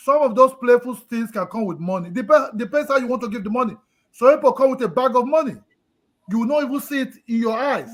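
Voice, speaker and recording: An extremely high, loud man's voice, animated and very fast, with ordinary pitch variation. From Nigeria. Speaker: live stream panelist. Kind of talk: casual discussion. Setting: live stream. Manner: emotional, animated.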